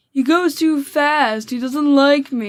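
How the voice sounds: In a put-on character voice, a female-sounding speaker talks at a fairly slow pace with a high pitch and a whiny tone, sounding whiny throughout.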